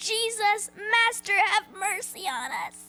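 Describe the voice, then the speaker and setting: A female-sounding voice in a put-on character mode speaks at a fairly slow pace with an extremely high pitch. Faint music plays in the background. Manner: pious, imploring.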